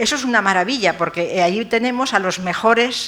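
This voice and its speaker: Noticeable noise fills the background. Over it, a woman speaks fairly quickly. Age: 70s. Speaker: professor emerita of art restoration. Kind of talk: lecture. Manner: halting, with fillers.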